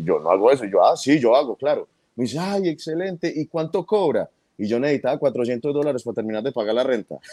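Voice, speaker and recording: A dark, mellow voice rushes along at a very fast pace with lively intonation, recorded dry and close with no echo. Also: man, fairly high pitch for a man. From Colombian, raised in New York City. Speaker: comedian. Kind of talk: interview. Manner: repeats words, halting.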